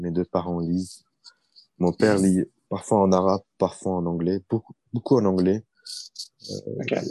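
A man's very deep, low, dark and mellow voice at a moderate pace, in a dry, close sound with no echo. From Iraq (Baghdad) then Paris suburbs, France. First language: Arabic (speaking French). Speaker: law doctoral student and consultant. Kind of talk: interview conversation. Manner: halting, many repetitions and fillers.

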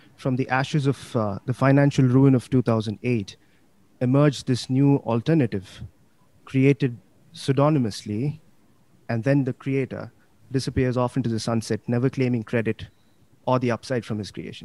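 The speaker keeps a moderate pace with long, frequent pauses and fairly even intonation. The sound is dry and close, with no echo. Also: man, medium pitch for a man. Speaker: crypto investor. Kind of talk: interview chat.

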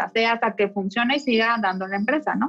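Using an ordinary speaking voice, a woman talks at a fairly high pitch. Her pace is moderate, with ordinary pitch variation. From Mexico, Mexicali, Baja California. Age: 20s. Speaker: interior designer and architect. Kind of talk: interview conversation.

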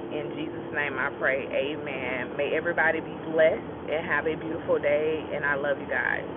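Over noticeable background noise, the speaker keeps a moderate pace with hardly any pauses. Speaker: podcaster giving morning encouragement. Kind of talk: morning devotional encouragement followed by a spoken prayer. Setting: recorded before work in the morning. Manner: warm, encouraging, earnest.

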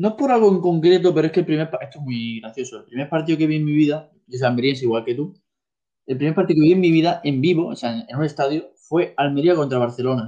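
Delivered at a very fast pace, the voice has a dark, mellow tone and ordinary pitch variation. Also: man, fairly high pitch for a man. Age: 20s. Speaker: amateur football goalkeeper. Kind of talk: casual chat.

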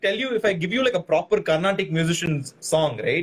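A man speaks with a Tamil accent. His tone is animated and his intonation lively. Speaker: podcast host. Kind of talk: casual chat. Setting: video call.

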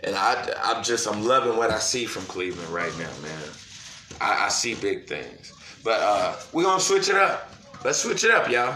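Male speech at moderate speed, with an audible echo in the room and noticeable background noise. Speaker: sports podcast host. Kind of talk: casual solo sports talk. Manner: excited, animated.

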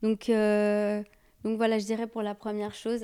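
Fairly slow and dark, mellow in tone, a woman's medium-pitched voice comes through a very clean recording with a silent background. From Brazilian and Sicilian heritage. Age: 30s. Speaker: youth leader. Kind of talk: casual chat.

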